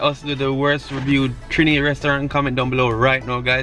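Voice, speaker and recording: A man talks at a very fast pace in a dry sound with no echo, with faint music in the background. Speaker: vlogger. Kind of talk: casual vlog chat. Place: car. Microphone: phone near.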